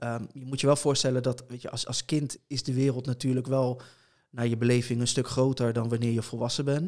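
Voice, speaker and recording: A man's medium-pitched voice at a fairly quick pace, fairly even in intonation, against a quiet background. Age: 30s. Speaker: blind competitive gamer and streamer; blind competitive gamer, streamer. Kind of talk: interview conversation. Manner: hesitant, many filler sounds. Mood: calm, reflective storytelling. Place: home room. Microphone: studio mic.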